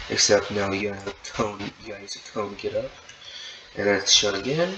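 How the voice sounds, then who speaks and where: A man's voice with very wide pitch swings, set against noticeable background noise. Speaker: gaming tutorial creator. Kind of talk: tutorial. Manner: halting, many repeated words.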